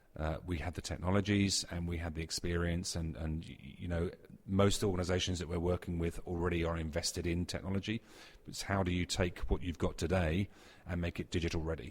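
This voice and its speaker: A man's very deep, low, somewhat breathy voice in a British accent, fairly quick with monotone, flat intonation. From UK. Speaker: technology executive. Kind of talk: interview.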